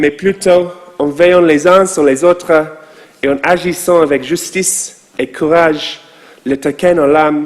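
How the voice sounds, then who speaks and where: Very slow pace and fairly even intonation over noticeable background noise. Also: man, fairly high pitch for a man. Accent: English. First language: English (speaking French). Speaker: rabbi. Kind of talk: sermon.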